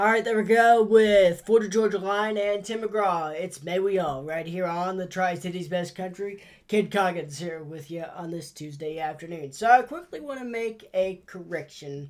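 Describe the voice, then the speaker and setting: A man's high voice with ordinary pitch variation, big swings in loudness, a moderate pace and hardly any pauses. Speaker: radio DJ. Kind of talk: radio voice tracking.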